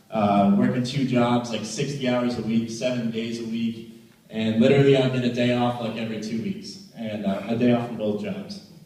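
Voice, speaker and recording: A medium-pitched man's animated voice with an American accent, at a moderate pace, with audible room echo. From New England, US (Rhode Island, then central Massachusetts). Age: 20s. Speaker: motivational speaker. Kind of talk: motivational talk.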